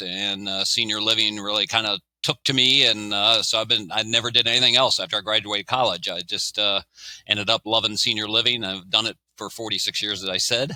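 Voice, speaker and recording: A man speaks at a fairly quick pace with a fairly low pitch. The sound is dry and close, with no echo. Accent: American. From Maryland. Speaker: retired senior living executive, cancer survivor. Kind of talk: podcast interview. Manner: halting, many fillers.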